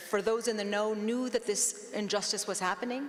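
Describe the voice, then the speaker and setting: A woman's fairly even intonation and moderate speed come through over noticeable noise in the background. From US, immigrated from Iran at nine. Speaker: law professor and author. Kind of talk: panel discussion. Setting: stage with live audience.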